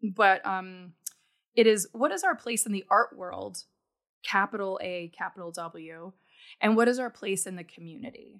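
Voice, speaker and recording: A woman speaks in an ordinary speaking voice at a medium pitch with ordinary pitch variation, in a very clean recording with a silent background. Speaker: podcast host and artist. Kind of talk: interview conversation.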